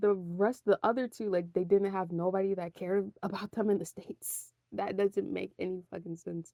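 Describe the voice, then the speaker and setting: Medium-pitched female voice, dark and mellow in tone, with fairly even intonation at a moderate pace, dry and close with no echo. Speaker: podcaster. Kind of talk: casual monologue. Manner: halting, many pauses.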